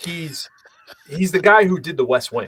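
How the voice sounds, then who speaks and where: The speaker is a man. He talks with a Boston accent. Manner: chatty, hesitant with filler words and repeats.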